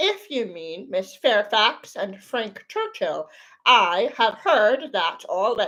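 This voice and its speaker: In a put-on character voice, a woman speaks very slowly at a fairly high pitch. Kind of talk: classic novel read aloud. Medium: read story. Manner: measured, earnest.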